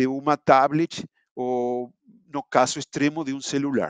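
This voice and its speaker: A man with a non-native accent speaks at a fairly slow pace. The sound is dry and close with no echo, over a quiet background. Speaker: simulation engineer presenting software. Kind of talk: online webinar presentation. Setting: live online event. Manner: halting, with many fillers.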